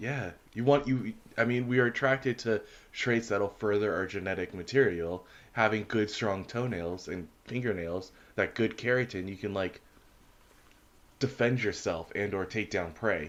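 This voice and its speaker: Mumbling at a moderate pace, a man speaks in a fairly low voice with ordinary pitch variation. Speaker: podcast co-host. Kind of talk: casual chat.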